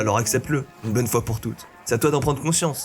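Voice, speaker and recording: Music plays behind a man talking at a very fast pace. His pitch sits in the medium range, and his intonation is fairly even. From rural France. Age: 20s. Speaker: content creator. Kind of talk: reflective personal voice-over narration.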